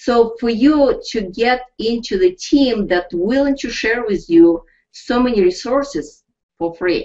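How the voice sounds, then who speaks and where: The speaker talks at a fairly slow pace with a Russian accent and very wide pitch swings. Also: woman, high pitch for a woman. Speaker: network marketing team leader. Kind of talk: webinar pep talk. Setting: live online broadcast. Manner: animated.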